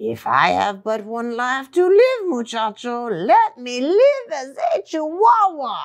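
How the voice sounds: A woman does a put-on character voice in a Spanish accent, high-pitched and theatrical, playful in tone, at a fairly slow pace.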